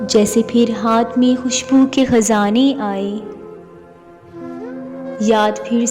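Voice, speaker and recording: Music plays in the background. A woman speaks with monotone, flat intonation. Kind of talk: poetry reading.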